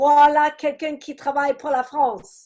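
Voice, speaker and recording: This woman has an English accent. Her pitch is high. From England. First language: English (speaking French). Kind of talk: testimony.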